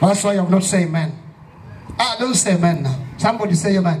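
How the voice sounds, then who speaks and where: A man with a high voice, an animated tone and ordinary pitch variation, at a fairly quick pace over light background noise. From Kenya. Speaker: pastor. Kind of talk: fervent evangelistic sermon at a youth rally, call-and-response. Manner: emphatic, repetitive preaching cadence; animated, prompting audience amens.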